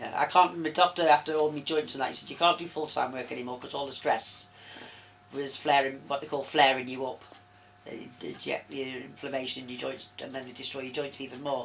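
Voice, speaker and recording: A woman's very deep, low voice at a fairly quick pace, with fairly even intonation, big swings in loudness and noticeable background noise. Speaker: interviewee living with arthritis. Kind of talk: interview. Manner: fast.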